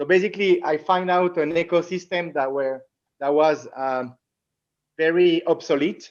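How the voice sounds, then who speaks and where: Moderate pace in a Latin American accent. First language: French. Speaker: entrepreneur. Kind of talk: interview. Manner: halting, many repetitions.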